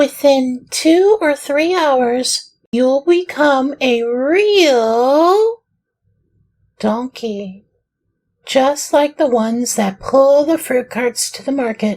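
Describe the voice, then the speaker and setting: A high-pitched, put-on character voice at a very slow pace. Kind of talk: children's audiobook reading. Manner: sorrowful, gentle.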